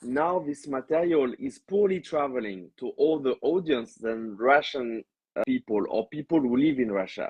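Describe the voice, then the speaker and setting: The speaker has a French accent and lively intonation. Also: man, fairly high pitch for a man. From France. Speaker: stand-up comedian. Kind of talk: interview. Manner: hesitant, many fillers; slow when explaining.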